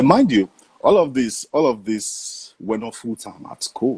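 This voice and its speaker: A man with a Nigerian accent, at a fairly slow pace, with big swings in loudness. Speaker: voice actor. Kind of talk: interview answer.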